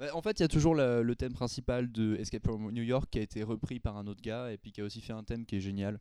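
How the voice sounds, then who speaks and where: A man talks at a very fast pace with hardly any pauses, his pitch medium. His tone is dark and mellow, and the sound is dry and close with no echo. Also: fairly even intonation, quiet background. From Belgium. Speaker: film editor. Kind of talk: casual chat.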